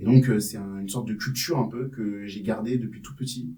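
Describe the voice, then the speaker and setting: Fairly quick male speech in a dark, mellow tone, its pitch varying in an ordinary way. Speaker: rapper. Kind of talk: interview answer. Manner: casual.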